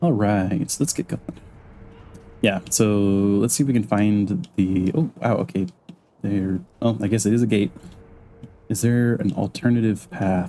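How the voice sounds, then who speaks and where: With long, frequent pauses, a man speaks at a moderate pace in a dark, mellow tone, his pitch fairly low and its variation ordinary. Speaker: vtuber streamer. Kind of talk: live game streaming commentary. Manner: casual, hesitant with fillers; soft-spoken.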